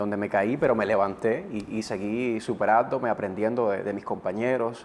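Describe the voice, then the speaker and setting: Heard here is a normal speaking voice, its pitch moving with ordinary variation. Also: man. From eastern Cuba, Gibara. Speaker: TV presenter and radio announcer. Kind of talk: interview. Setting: studio.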